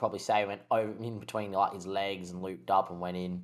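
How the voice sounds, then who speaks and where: The recording is very clean, with a silent background. A man with an Australian accent talks very fast, his intonation fairly even. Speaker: podcast co-host. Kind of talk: casual sports chat.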